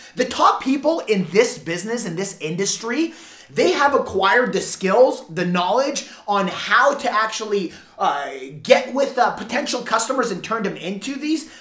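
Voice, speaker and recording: Against noticeable background noise, a man with an extremely high pitch speaks in an animated tone with lively intonation. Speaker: door-to-door sales trainer. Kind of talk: sales training talk to camera. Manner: halting, repeats words.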